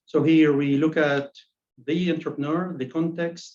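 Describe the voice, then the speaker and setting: Speaking with a non-native accent, a man keeps to a monotone, flat intonation. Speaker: academic presenter. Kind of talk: academic presentation. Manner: halting, with frequent repetitions.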